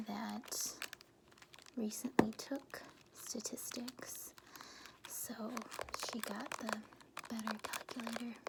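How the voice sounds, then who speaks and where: The speaker is soft-spoken and talks at a very slow pace with long, frequent pauses. Background noise is noticeable. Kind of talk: ASMR soft-spoken chat.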